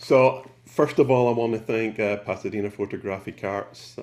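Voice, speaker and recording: A man with a Scottish accent, fairly even intonation and a moderate pace, in a very clean recording with a silent background. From Scotland, Glasgow. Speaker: photographer. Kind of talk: presentation.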